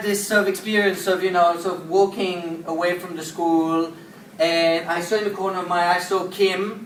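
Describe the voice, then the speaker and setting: The speaking comes at a moderate pace over noticeable background noise. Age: young. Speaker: social entrepreneur giving a talk. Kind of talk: inspirational talk.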